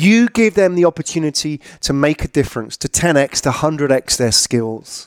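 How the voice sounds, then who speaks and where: Fairly high-pitched for a man, a normal speaking voice with lively intonation at a moderate pace, dry and close with no echo. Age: 40s. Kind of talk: solo monologue commentary.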